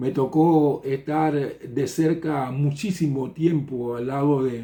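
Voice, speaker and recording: A man at a very slow pace, fairly high in pitch, with fairly even intonation and audible room echo. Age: 60s. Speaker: pastor. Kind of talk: sermon. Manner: halting.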